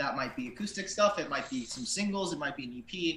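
A man speaks fairly quickly with ordinary pitch variation, and audible room echo and noticeable background noise are present. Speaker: band member, songwriter. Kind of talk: casual interview.

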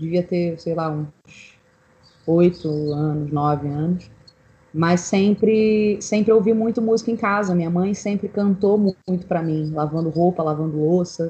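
Fairly slowly, a woman speaks in a fairly low, dark, mellow voice. Her sound is somewhat breathy. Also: ordinary pitch variation. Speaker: singer-songwriter. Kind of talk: casual chat.

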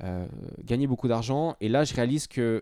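A man talks at a moderate pace with ordinary pitch variation, on a very clean recording with a silent background. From Switzerland, Lausanne. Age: 30s. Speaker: fitness coach. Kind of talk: interview.

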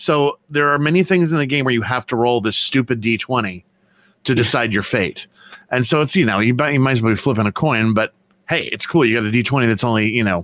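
This is an unremarkable speaking voice from a man. The pitch sits at a medium level and varies in an ordinary way. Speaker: artist and convention vendor. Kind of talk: casual chat.

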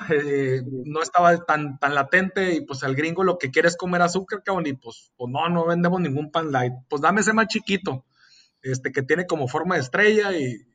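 A man talks at a high pitch, varying it in an ordinary way. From Mexicali, Baja California, Mexico. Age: 30s. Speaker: entrepreneur. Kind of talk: casual interview chat. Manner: hesitant with frequent fillers.

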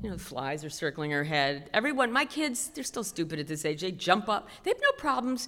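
Very wide pitch swings run through this woman's medium-pitched voice with an American accent. She keeps a moderate pace on a very clean recording with a silent background. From Queens, New York. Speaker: storyteller. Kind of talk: live storytelling. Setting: stage with audience.

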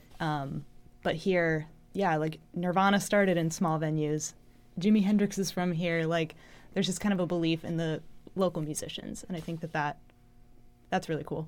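In a very clean recording with a silent background, a woman speaks with an American accent at a moderate pace. Her fairly low voice keeps a fairly even intonation, broken by long, frequent pauses. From Los Angeles area. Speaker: singer. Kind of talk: casual chat.

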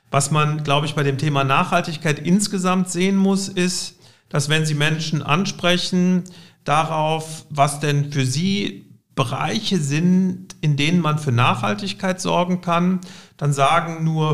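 At a very slow pace, a man talks in a fairly high pitch with ordinary pitch variation. His loudness stays very even throughout. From Cologne, Germany. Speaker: insurance company executive. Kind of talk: interview.

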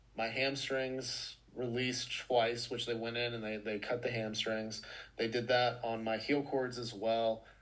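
The delivery is fairly slow, with monotone, flat intonation. Audible room echo surrounds the voice. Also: man. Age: 40s. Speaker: fitness coach and podcaster. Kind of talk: casual chat. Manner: halting, with many repeated words.

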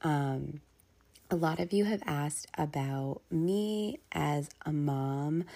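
In a very clean recording with a silent background, a woman speaks in a dark, mellow tone at a very deep, low pitch, with ordinary pitch variation. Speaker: podcast host. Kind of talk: casual solo chat. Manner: casual, filler-heavy.

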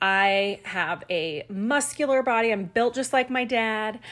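A woman speaks with an unremarkable speaking voice. Her pitch is fairly high. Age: 40s. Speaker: fitness podcast host, personal trainer. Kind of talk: casual solo talk. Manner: conversational with many filler ums.

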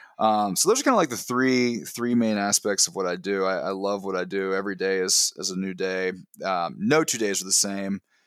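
At a moderate pace, a man with a plain, everyday voice speaks at a fairly low pitch and ordinary pitch variation. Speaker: podcast guest. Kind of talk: casual interview chat. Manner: casual, filler words, laughs often.

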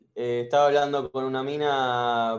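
A man uses a normal speaking voice at a medium pitch with ordinary pitch variation. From Argentina. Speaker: caller, university student. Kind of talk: casual chat.

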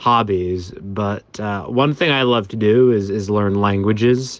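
In a plain, everyday voice, a man with an American accent speaks at a fairly slow pace and medium pitch, his intonation fairly even against a quiet background. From Massachusetts, US (Boston area). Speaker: DJ and event organizer. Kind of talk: interview.

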